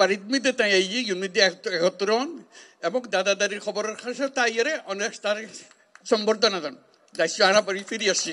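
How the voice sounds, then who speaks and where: Bright, sharp tone and ordinary pitch variation. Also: man. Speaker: Nobel laureate, head of government. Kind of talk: public speech to refugees.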